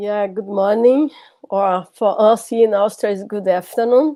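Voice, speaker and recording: Speaking fairly slowly with a strong non-native accent, a woman has a medium pitch, a dark, mellow tone and fairly even intonation. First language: Portuguese. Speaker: lecturer. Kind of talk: lecture. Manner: halting.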